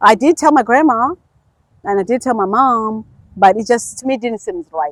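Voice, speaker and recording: Speaking at a moderate pace in a Zulu accent, a woman uses lively intonation and a fairly high pitch, with a dry, close sound and no echo. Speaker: podcast guest. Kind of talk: casual chat. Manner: casual, halting with fillers.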